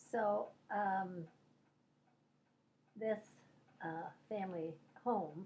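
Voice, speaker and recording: A woman with an American accent speaks very slowly at a medium pitch, her dark, mellow tone somewhat breathy, with ordinary pitch variation. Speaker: grandmother telling life stories. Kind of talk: oral history interview. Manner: halting.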